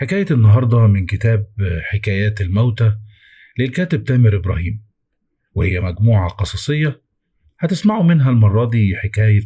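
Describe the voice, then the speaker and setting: A man speaks at a moderate pace with a fairly low pitch. His voice is somewhat breathy. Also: lively intonation. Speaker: horror story narrator. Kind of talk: casual channel intro.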